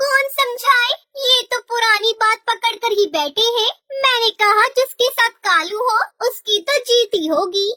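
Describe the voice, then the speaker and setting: A cartoonish character voice that sounds female moves at a moderate pace with an extremely high pitch. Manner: stubborn, self-assured.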